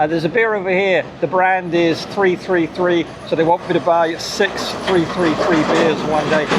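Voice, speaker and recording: In an English accent, a man with a high pitch for a man speaks at a moderate pace in a flat monotone, with very even loudness, hardly any pauses and noticeable background noise. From UK. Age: 60s. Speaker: cycling vlogger. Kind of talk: casual vlog. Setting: outdoors by a roadside.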